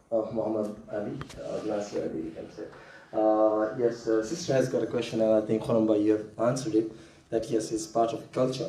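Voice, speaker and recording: Amid noticeable background noise and audible room echo, a man with a medium pitch talks at a fairly quick pace. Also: ordinary pitch variation. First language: not English. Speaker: community volunteer. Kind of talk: Q&A contribution at training session. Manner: halting.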